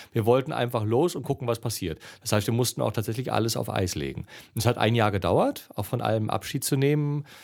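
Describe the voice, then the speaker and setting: A man rattles along at a very fast pace with hardly any pauses, his pitch medium. His intonation is lively, with vocal fry in the voice. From East Germany. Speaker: adventurer and travel speaker. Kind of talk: casual interview. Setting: festival venue.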